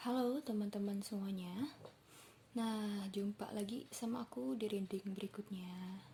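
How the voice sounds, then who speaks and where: Delivered at a fairly slow pace with a relaxed tone, the speech holds very even loudness and ordinary pitch variation. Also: woman, medium pitch for a woman. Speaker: tarot reader. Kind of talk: tarot reading to camera. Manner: relaxed, casual.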